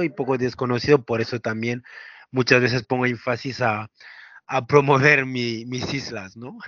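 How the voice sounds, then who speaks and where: A man's unremarkable speaking voice at medium pitch, moderate pace, and big swings in loudness. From France. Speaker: travel entrepreneur. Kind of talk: interview.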